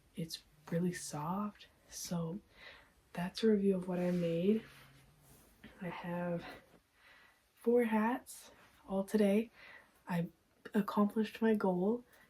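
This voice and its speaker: Her pace is very slow, with long, frequent pauses. The woman's voice sits at a medium pitch, somewhat breathy, with a dark, mellow tone. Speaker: crochet vlogger. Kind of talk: casual vlog review. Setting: at home at night. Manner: soft-spoken; hesitant filler-heavy.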